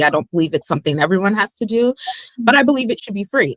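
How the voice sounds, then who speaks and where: Heard in a dry, close sound with no echo, a woman speaks with ordinary pitch variation. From US, Pittsburgh, Pennsylvania. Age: 30s. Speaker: former English teacher in China, travel interviewee. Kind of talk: casual chat. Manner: animated.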